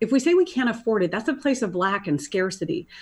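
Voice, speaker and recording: Against a quiet background, a woman talks at a fairly quick pace in a fairly high, somewhat breathy voice. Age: 50s. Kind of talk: casual chat.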